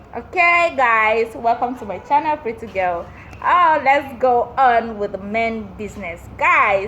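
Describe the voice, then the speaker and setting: A woman's lively, fairly high-pitched voice at a fairly slow pace, over noticeable background noise. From Nigeria, Benue State (Tiv). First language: Tiv. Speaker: YouTuber, language teacher. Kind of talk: tutorial.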